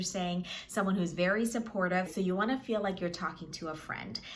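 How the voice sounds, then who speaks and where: A woman speaks with a somewhat breathy voice. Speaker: media coach. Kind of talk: tutorial. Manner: fast.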